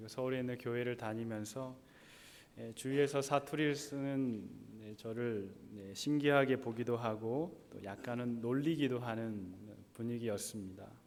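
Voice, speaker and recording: Amid audible room echo, a man at medium pitch speaks at a moderate pace with fairly even intonation and big swings in loudness. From South Korea, Gyeongsang province. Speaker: pastor. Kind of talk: sermon. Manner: sounds harsh, as if angry.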